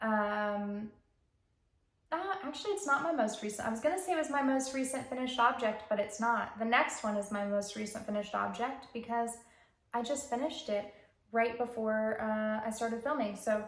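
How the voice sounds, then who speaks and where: In a room with audible echo, a woman talks at a moderate pace and fairly high pitch, using ordinary pitch variation. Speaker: knitting podcaster. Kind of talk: casual chat.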